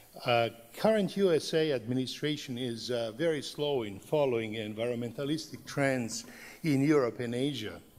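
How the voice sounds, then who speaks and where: Recorded with audible room echo, a man speaks at a moderate pace at a medium pitch with ordinary pitch variation. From Serbia, Belgrade. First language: Serbian. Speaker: professor. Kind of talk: conference talk. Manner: halting, many fillers.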